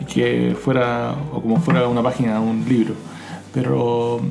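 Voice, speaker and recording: A man with a Chilean accent speaks at a medium pitch and a fairly slow pace. Audible room echo and noticeable background noise fill the recording. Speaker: podcast co-host. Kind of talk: casual chat. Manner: halting.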